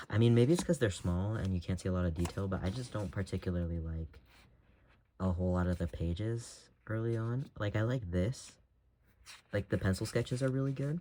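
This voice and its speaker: Soft-spoken and dark, mellow in tone, a man talks at a fairly quick pace and a fairly low pitch with ordinary pitch variation. The recording is very clean, with a silent background. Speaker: artist. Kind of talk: casual chat. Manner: halting.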